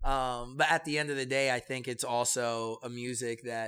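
With an American accent, a man speaks at medium pitch and a moderate pace. His tone is bright and sharp, his intonation flat and monotone. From New York, the Bronx. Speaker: salsa project founder and brewery manager. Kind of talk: interview conversation.

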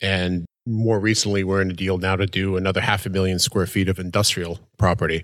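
A man's ordinary speaking voice, fairly low in pitch, at a moderate pace in a very clean recording with a silent background. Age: 40s. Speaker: real estate company partner. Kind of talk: casual chat.

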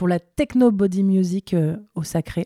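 A woman speaks with a fairly low pitch and a dark, mellow tone. The sound is dry and close with no echo, on a very clean recording with a silent background. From northern France, Lille. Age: 30s. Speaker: DJ. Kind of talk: casual interview.

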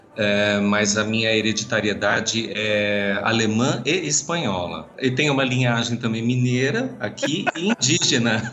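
In a room with audible echo and noticeable background noise, a man of medium pitch speaks fairly slowly, with very even loudness and ordinary pitch variation. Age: 50s. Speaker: marching band drum major and choreographer. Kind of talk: casual interview.

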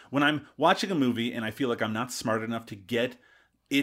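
Very fast speech comes from a man. The recording is very clean, the background silent. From Canada, Newfoundland. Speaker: podcast guest, film discussant. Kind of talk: casual chat.

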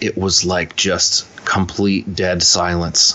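A man with a very deep, low pitch talks in an American accent over noticeable background noise. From US, upstate New York (Rochester), then Philadelphia area. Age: 30s. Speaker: guitarist. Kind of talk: casual interview.

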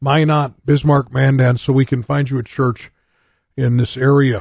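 A man speaks at a fairly slow pace in a medium pitch, his dark, mellow tone somewhat breathy, with fairly even intonation and a dry, close sound with no echo against a quiet background. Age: 60s. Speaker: pastor and radio host. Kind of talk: live radio preaching and talk.

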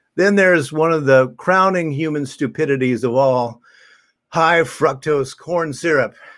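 Speaking at a fairly slow pace, a man with a plain, everyday voice has a fairly high pitch and ordinary pitch variation, on a very clean recording with a silent background. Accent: American. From US Midwest, southern Illinois. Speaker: minister. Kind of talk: sermon.

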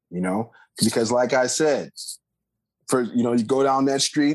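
The intonation stays fairly even in a plain, everyday voice. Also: man. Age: 40s. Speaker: jazz bassist. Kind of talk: casual interview.

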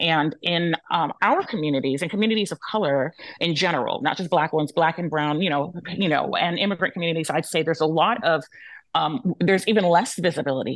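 Very fast talking comes with ordinary pitch variation. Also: woman. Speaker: researcher and advocate. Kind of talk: panel discussion. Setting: video call.

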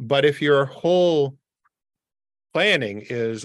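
He has an ordinary speaking voice with a Canadian accent. This man's medium pitch shows ordinary pitch variation. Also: quiet background. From Canada, Windsor Ontario. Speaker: immigration consultant. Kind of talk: expert interview.

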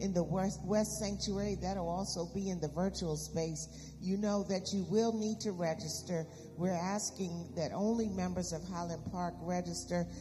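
A woman talks at a moderate pace as noticeable background noise carries on behind her. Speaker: church announcer and prayer leader. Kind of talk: church announcements and prayer. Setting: church.

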